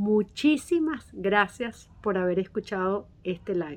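This woman has an ordinary speaking voice at a medium pitch. Her intonation is lively. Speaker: podcast host. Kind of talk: interview hosting. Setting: live stream.

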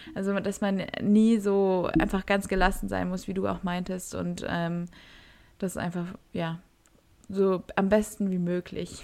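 A dark, mellow, monotone and flat voice at a fairly slow pace with long, frequent pauses, on a very clean recording with a silent background. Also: woman, medium pitch for a woman. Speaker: podcast co-host, university student. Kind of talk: casual chat.

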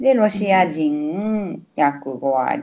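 Her pitch swings very widely. The woman talks at a very slow pace. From Osaka, Japan. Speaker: Japanese language teacher. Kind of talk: casual chat. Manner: animated.

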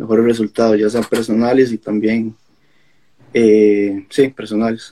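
A man with a dark, mellow tone and medium pitch speaks at a very slow pace. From Costa Rica, Alajuela. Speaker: national judo athlete. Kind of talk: interview.

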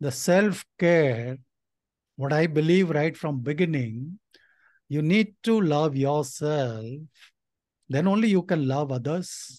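Over a quiet background, a man speaks at a very slow pace with long, frequent pauses and ordinary pitch variation. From India, of Nepali parents. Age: 60s. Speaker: retired IT executive. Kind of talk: interview. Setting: remote call.

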